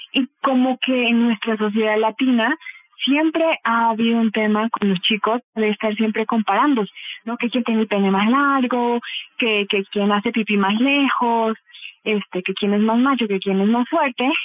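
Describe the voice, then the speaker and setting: Fairly high in pitch, a woman speaks in a normal speaking voice at a fairly slow pace. Her intonation is fairly even and her loudness very even. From Bolivia. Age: 30s. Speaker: psychotherapist and clinical sexologist. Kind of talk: interview answers.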